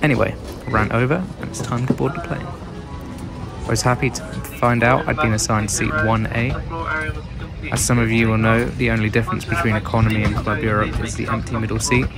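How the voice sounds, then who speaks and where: A British accent at a fairly quick pace with long, frequent pauses, music in the background and audible room echo. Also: man, medium pitch for a man. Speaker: travel vlogger. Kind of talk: scripted narration. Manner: monotone.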